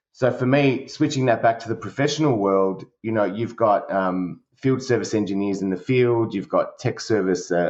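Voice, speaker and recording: Talking at a moderate pace with hardly any pauses, a man keeps a medium pitch with ordinary variation. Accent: Australian. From Australia. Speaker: service director at a company. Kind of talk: podcast interview. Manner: halting, many fillers.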